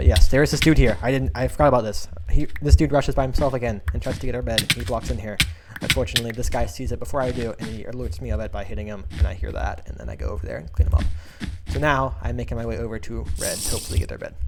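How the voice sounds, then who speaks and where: A man at a very fast pace with big swings in loudness and music in the background. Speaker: gaming youtuber. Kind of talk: gameplay commentary. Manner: casual, halting repetitions.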